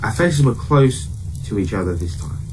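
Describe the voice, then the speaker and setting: Speech moves at a fairly quick pace over noticeable background noise, with audible room echo. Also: man. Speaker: horror story narrator. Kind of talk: reading aloud. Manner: casual, unpolished reading.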